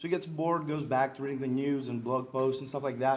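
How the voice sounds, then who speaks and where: Audible room echo surrounds a man's medium-pitched voice as he talks at a fairly quick pace with ordinary pitch variation. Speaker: conference presenter. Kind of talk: conference talk. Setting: stage with audience. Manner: hesitant, many fillers.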